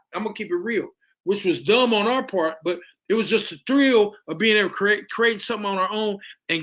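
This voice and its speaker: With an American accent, a man uses a raised, projected voice, high in pitch with a bright, sharp tone and ordinary pitch variation. He talks at a fairly quick pace with big swings in loudness. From Indianapolis, Indiana, US Midwest. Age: 60s. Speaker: musician and producer, caller. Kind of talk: casual chat.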